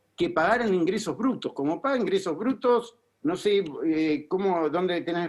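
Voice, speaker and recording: A man speaks with a Rioplatense accent. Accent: Rioplatense Spanish (porteño). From Argentina, Buenos Aires. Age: 60s. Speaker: political asylum seeker, former city advisor. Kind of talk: TV interview. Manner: halting, many self-corrections.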